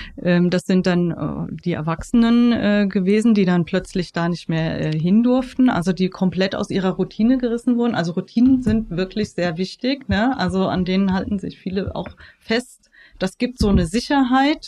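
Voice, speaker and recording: A woman's medium-pitched voice with a dark, mellow tone. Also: ordinary pitch variation, moderate pace. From Germany, Frankfurt. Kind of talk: interview. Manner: hesitant, many fillers.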